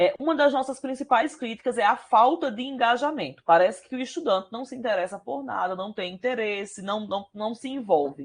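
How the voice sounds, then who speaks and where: A woman with a fairly high pitch and vocal fry talks at a moderate pace, with hardly any pauses. Her pitch swings very widely, and her loudness swings a lot. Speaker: university professor. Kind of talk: lecture.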